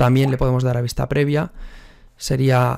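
A man speaks at a moderate pace with vocal fry, a slightly mellow tone, medium pitch, and little pitch movement.

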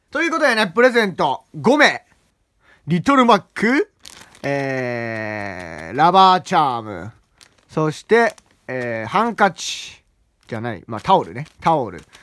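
An animated, bright, sharp voice moves at a fairly slow pace with very wide pitch swings and big swings in loudness. The sound is dry, with no echo. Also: man. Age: young. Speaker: gaming YouTuber; student channel host. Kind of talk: casual vlog talk. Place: home room. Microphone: phone near.

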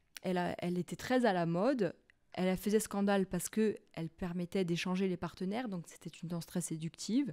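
Fairly quick in pace, a woman speaks in a medium-pitched voice of dark, mellow tone with ordinary pitch variation and a dry, close sound with no echo. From Corsica. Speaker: university lecturer in anthropology. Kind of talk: interview. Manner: halting.

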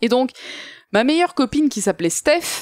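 A woman's voice with very wide pitch swings, dry and close with no echo, on a very clean recording with a silent background. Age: 30s. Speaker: guest co-host. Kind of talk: casual chat. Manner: animated.

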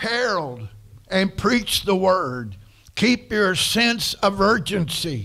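Against a quiet background, a man speaks in a raised, projected voice. His tone is bright and sharp, and his pace very slow. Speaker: pastor. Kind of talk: sermon. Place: church. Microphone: podium.

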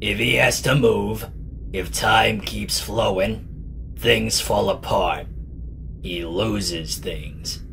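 The speech moves at a fairly slow pace with clear background noise behind it. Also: man. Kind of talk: introspective inner monologue. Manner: cool, cynical, self-assured.

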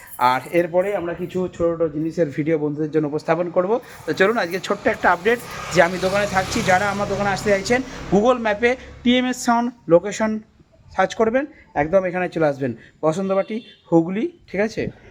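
With noticeable background noise, a man speaks in a high pitch with ordinary pitch variation. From West Bengal, Ghatal (Paschim Medinipur). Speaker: sound system shop owner and vlogger. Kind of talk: casual vlog. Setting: in his new shop.

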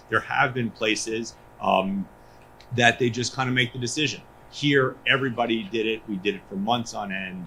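Ordinary pitch variation runs through a man's bright, sharp tone. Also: medium pitch for a man, moderate pace. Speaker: school superintendent. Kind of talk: public meeting remarks. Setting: school board meeting.

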